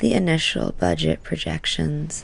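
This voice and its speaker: Soft-spoken delivery at a fairly slow pace. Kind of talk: sleep story.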